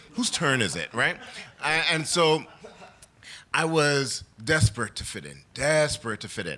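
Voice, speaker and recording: Over noticeable background noise, a man speaks at a fairly slow pace with a fairly high pitch, lively intonation, big swings in loudness and long, frequent pauses. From Trinidad and New York. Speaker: storyteller. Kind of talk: live storytelling. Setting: stage with audience. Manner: animated.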